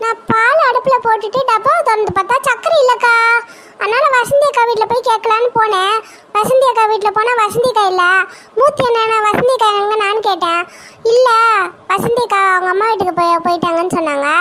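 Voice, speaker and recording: Using a cartoonish character voice, a woman speaks at an extremely high pitch, with ordinary pitch variation and a moderate pace. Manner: chatty, ingratiating.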